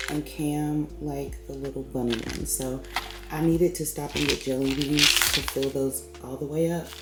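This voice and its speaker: With music behind her, a woman talks at a moderate speed. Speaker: mom vlogger. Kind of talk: casual vlog talk. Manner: casual, filler-heavy.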